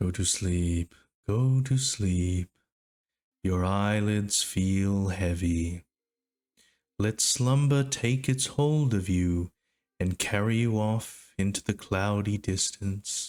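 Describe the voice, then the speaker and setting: In a put-on character voice, a man talks very slowly at a fairly low pitch with a soothing tone and very even loudness. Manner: slow, soothing, hypnotic.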